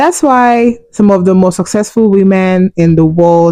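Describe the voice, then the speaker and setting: With a Nigerian accent, a woman talks at a medium pitch with ordinary pitch variation. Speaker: relationship and money vlogger. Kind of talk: opinion monologue.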